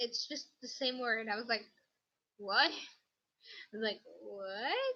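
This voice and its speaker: The voice has a bright, sharp tone and ordinary pitch variation. Its pace is very slow. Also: woman, high pitch for a woman. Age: 18. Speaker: craft YouTuber. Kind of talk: livestream chat. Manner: rambling, casual. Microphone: laptop mic being tested.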